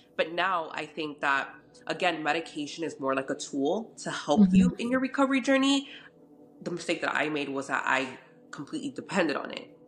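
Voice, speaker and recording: Music in the background under a woman's fairly low voice, very wide pitch swings and a fairly quick pace. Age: 30s. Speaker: fashion content creator. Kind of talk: personal testimony in interview. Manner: halting, many fillers.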